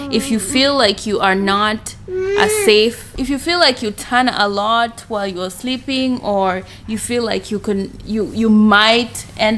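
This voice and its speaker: Noticeable background noise sits behind a woman with a Kenyan accent. She speaks at a fairly slow pace in a fairly high pitch, with ordinary pitch variation. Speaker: vlogger and mother. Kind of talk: casual vlog talk. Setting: at home.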